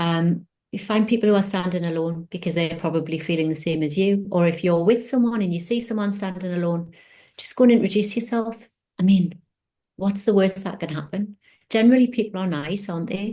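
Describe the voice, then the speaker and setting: A woman's somewhat breathy voice with a dark, mellow tone, a fairly quick pace, ordinary pitch variation, and long, frequent pauses. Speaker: mentor and career coach. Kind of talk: interview presentation with slides. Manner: fast.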